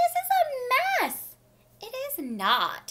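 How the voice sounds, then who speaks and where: A squeaky, put-on character voice is raised and projected at an extremely high pitch with very wide pitch swings. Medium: read story. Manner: boastful, squabbling.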